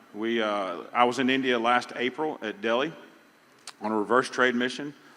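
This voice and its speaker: At a moderate pace, a man with a Southern US accent talks at medium pitch with fairly even intonation. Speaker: pecan industry representative. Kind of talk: conference panel talk. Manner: halting.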